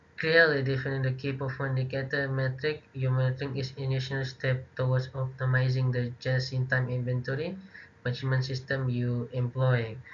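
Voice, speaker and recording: The man's voice is somewhat breathy. His intonation is monotone and flat. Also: medium pitch for a man, fairly quick pace. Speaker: university student. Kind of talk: class presentation. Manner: halting.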